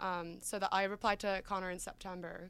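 In an Australian accent, a woman speaks at medium pitch with monotone, flat intonation, recorded very cleanly against a silent background. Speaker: college swimmer. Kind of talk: casual chat.

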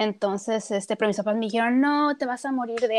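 Recorded with a dry, close sound and no echo, a woman speaks at a moderate pace with ordinary pitch variation. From Tijuana, northern Mexico. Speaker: cook and nutritionist. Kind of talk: casual interview.

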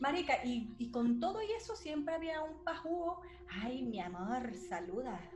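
Very wide pitch swings at a fairly slow pace, with audible room echo. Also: woman, high pitch for a woman. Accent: Venezuelan. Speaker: podcast co-host. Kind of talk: casual chat.

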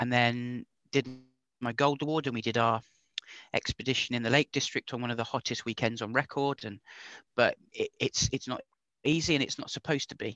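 Fairly quick speech from a man with an English accent, a bright, sharp tone, fairly even intonation and a dry, close sound with no echo. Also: medium pitch for a man. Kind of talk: casual interview chat. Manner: controls a stammer with trained speech technique.

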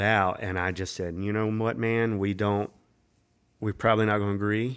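A North Carolina accent at a moderate pace, fairly even in intonation, on a very clean recording with a silent background. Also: man. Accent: Southern US (North Carolina). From North Carolina, Winston-Salem area. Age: 30s. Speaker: songwriter and musician. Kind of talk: casual chat.

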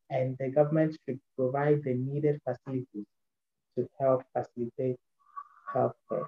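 A man with a Ghanaian accent speaks at medium pitch and a moderate pace, his somewhat breathy delivery flat and monotone, broken by long, frequent pauses. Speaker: podcast ambassador. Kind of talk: interview. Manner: halting.

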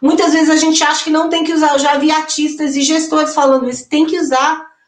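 This is a woman speaking. Her pitch is high. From interior of Minas Gerais, Brazil. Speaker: singer, actress and songwriter. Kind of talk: panel discussion.

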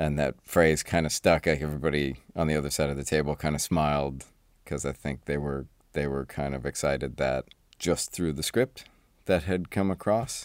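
A man at a very deep, low pitch with vocal fry, at a moderate pace with fairly even intonation, in a dry, close sound with no echo. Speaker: visual effects supervisor. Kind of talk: casual chat.

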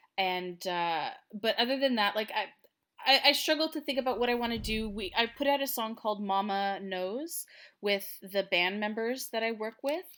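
On a very clean recording with a silent background, a woman with a Canadian accent speaks at a moderate pace in a fairly high pitch, her tone bright and sharp and her intonation lively. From Canada, Ottawa. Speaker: singer-songwriter. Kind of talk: casual interview.

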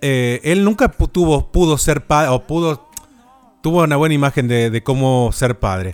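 At a moderate pace, a man with a fairly high pitch and a plain, everyday voice speaks with very even loudness, recorded dry and close with no echo. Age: 30s. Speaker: podcast host. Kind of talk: casual chat.

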